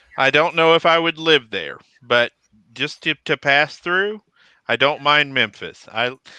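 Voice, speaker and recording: With a Texas accent, a man speaks at a fairly high pitch and a fairly slow pace. His tone is bright and sharp, and the sound is dry and close with no echo. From Texas (Killeen). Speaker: military veteran. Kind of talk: casual chat.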